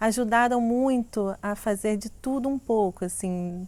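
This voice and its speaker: A woman's fairly high voice with a Minas Gerais accent, at a fairly slow pace. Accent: Minas Gerais (mineiro) Portuguese. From Brazil, Minas Gerais (Belo Horizonte). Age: 40s. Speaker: sensuality coach and content creator. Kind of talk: personal life story, casual monologue.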